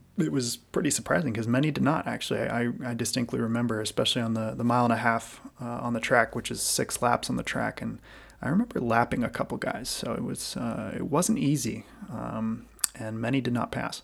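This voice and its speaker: A fairly quick American accent with vocal fry and ordinary pitch variation. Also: man, medium pitch for a man. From US, Washington state then Western Massachusetts. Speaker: airline pilot and podcast host. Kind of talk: solo podcast monologue. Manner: hesitant, frequent repetitions.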